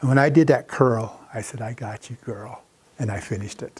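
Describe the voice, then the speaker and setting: A man with an American accent, a somewhat breathy voice, ordinary pitch variation and a fairly slow pace. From South Dakota, US. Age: 60s. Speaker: artist. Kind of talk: lecture with audience Q&A. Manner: casual, conversational.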